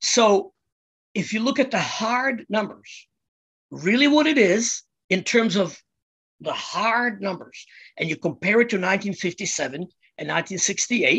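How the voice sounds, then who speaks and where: A man speaks loudly at a very slow pace in a bright, sharp tone. His pitch swings very widely, and the background is quiet. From Czechoslovakia (Prague). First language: Czech. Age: 60s. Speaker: musician. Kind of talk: casual interview. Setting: studio. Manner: loud and animated.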